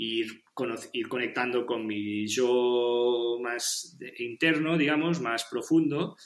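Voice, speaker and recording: Very slow male speech at a medium pitch, with ordinary variation in that pitch. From Catalonia, Spain (Penedès). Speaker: podcast interview guest. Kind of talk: casual interview chat. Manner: halting, many repetitions and fillers.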